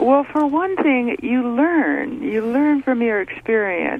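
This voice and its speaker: Amid noticeable background noise, a woman talks very slowly at a high pitch, swinging very widely in pitch. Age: 70s. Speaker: caller. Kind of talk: radio call-in.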